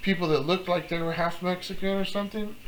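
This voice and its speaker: A man talks fairly quickly in a room with audible echo and noticeable background noise. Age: 50s. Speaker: vlogger. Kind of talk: casual monologue. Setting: at home.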